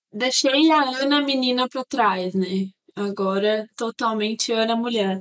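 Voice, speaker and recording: Speaking at a fairly slow pace, a woman with a fairly high pitch and ordinary pitch variation sounds dry and close with no echo. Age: 20s. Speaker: engineer. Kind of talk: casual chat.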